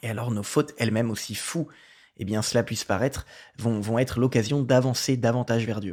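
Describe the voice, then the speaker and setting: Recorded very cleanly with a silent background, a man speaks fairly quickly at a medium pitch with fairly even intonation. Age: 20s. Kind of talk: casual testimony and reading aloud. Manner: halting, with fillers and repetitions.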